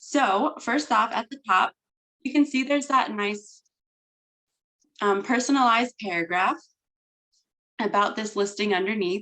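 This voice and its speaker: Her tone bright and sharp, a woman talks at a moderate pace with a fairly high pitch, lively intonation and long, frequent pauses. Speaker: real estate software trainer. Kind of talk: training presentation. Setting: recorded video call.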